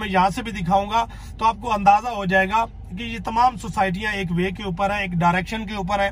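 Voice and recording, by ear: Clear background noise runs under a man with a high pitch. He talks at a fairly quick pace with fairly even intonation.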